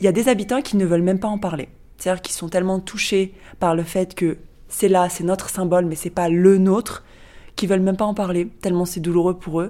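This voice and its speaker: A woman with a dark, mellow tone speaks very fast at a medium pitch. Her intonation stays fairly even. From France. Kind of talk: interview.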